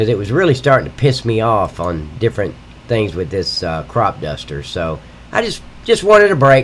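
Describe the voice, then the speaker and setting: A man's voice at a moderate pace, with very wide pitch swings. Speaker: livestreaming game modder. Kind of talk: live stream tutorial. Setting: live stream at computer. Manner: casual, rambling with fillers.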